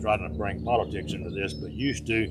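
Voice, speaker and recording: Talking at a very fast pace with lively intonation, a man with a fairly low pitch is heard amid audible room echo and noticeable background noise. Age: 70s. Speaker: country radio DJ and police officer. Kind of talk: casual interview chat. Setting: farm.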